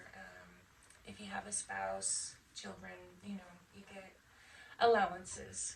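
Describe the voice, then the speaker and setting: Fairly slow speech in an American accent, with long, frequent pauses, big swings in loudness and audible room echo. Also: woman. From Las Vegas, with some childhood in Michigan. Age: 50s. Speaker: Air Force veteran. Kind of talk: interview. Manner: hesitant, many fillers.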